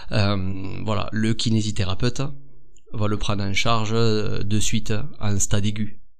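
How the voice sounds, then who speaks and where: The speech is fairly slow, monotone and flat, with very even loudness and audible room echo. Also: man, fairly low pitch for a man. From southern France. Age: 30s. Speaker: physiotherapist and osteopath. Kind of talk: podcast interview. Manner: hesitant, many fillers.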